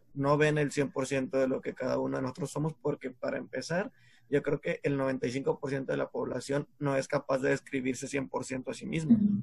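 A man with a fairly high pitch, vocal fry and ordinary pitch variation at a moderate pace, in a dry, close sound with no echo. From Mexico, San Pedro Garza García (Monterrey area). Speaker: podcast co-host. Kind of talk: casual chat.

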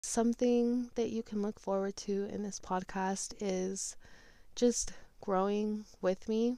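A woman's dark, mellow voice with an American accent, very slow in pace, in a monotone, flat intonation. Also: medium pitch for a woman. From US West, Las Vegas. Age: 20s. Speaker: podcast host. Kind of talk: solo monologue podcast.

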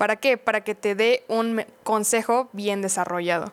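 Speaking at a moderate speed, a woman shows ordinary pitch variation. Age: 20s. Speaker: podcast co-host. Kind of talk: casual chat.

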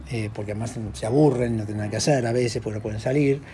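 His dark, mellow tone somewhat breathy, a man with a medium pitch talks at a fairly quick pace with fairly even intonation. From Argentina. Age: 50s. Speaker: social worker and former priest. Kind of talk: interview. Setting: at his home. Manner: halting.

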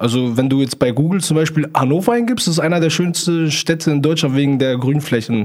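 Here is an unremarkable speaking voice, a man's. He talks at a fairly quick pace with ordinary pitch variation. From Germany, near Hanover. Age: 20s. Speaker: TikTok livestreamer. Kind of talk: casual interview chat.

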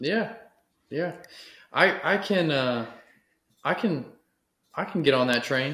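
A man with a Texan accent at a fairly slow pace. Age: 30s. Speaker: podcast host. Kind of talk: casual interview chat.

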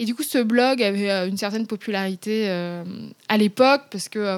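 A woman's fairly high-pitched, a plain, everyday voice, on a very clean recording with a silent background. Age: 30s. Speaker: author and Instagram influencer. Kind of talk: interview conversation.

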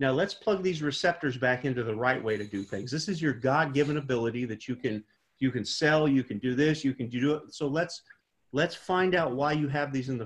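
A man speaks at a moderate pace in a somewhat breathy voice. His pitch is medium, with ordinary pitch variation. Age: 40s. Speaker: pastor and prison re-entry program director. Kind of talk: interview.

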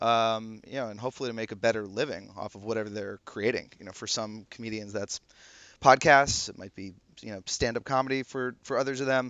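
A man talks in an ordinary speaking voice at medium pitch and a fairly quick pace. His intonation is fairly even, though his loudness swings widely. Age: 30s. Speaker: app founder. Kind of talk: casual chat.

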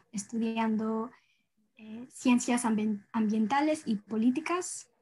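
A woman talks at a very slow pace. Her voice is fairly high and somewhat breathy. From US and rural Ecuador, Ecuadorian parents. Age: young. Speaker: environmental activist, university student. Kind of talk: interview. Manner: halting, many fillers.

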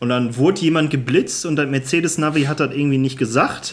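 A man's plain, everyday voice at a moderate pace with ordinary pitch variation. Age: 20s. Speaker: podcast co-host. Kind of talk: casual chat.

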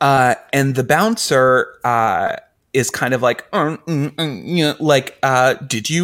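Speaking at a fairly high pitch, a man has a normal speaking voice with ordinary pitch variation. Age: 30s. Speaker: podcast co-host. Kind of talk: casual chat.

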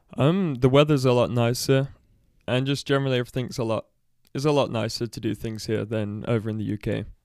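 The speaker has a Midlands accent and talks at a fairly quick pace with ordinary pitch variation. It is a very clean recording with a silent background. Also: man, medium pitch for a man. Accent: English Midlands, British. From Leicester, English Midlands. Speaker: guest, adoptee sharing personal story. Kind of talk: casual interview. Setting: studio.

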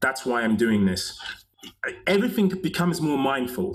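A normal speaking voice from a man, lively in intonation and moderate in pace. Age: 50s. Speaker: movement coach and author. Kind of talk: casual interview chat.

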